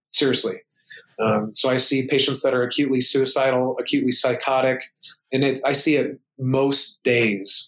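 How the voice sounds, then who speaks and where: The speech is monotone, with flat intonation and very even loudness. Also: man, medium pitch for a man, moderate pace. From United States. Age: 30s. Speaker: emergency physician and powerlifter. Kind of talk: casual interview.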